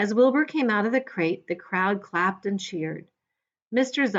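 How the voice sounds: This is a natural reading voice. It is heard against a quiet background.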